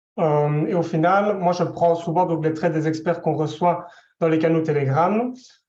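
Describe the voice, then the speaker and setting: In a room with audible echo, a man speaks fairly slowly at a high pitch with fairly even intonation and very even loudness. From Belgium. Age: 20s. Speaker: specialized educator giving testimony. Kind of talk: testimony. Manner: hesitant, many fillers.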